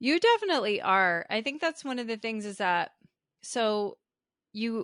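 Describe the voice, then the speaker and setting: Bright and sharp in tone, a woman with a US East Coast accent speaks at a fairly high pitch with very wide pitch swings, in a dry, close sound with no echo over a quiet background. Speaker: podcast host. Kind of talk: casual interview conversation.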